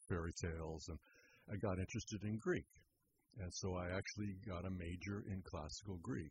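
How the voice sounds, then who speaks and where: Somewhat breathy, a man speaks with a fairly low pitch and ordinary pitch variation. His pace is moderate. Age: 70s. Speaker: therapist. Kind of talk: radio interview. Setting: studio.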